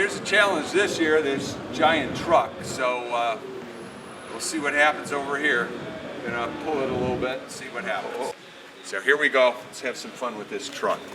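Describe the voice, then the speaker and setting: Noticeable background noise and audible room echo surround a man's voice. He has a fairly high pitch and big swings in loudness. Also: ordinary pitch variation, moderate pace. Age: 60s. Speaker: fitness presenter. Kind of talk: casual to-camera talk.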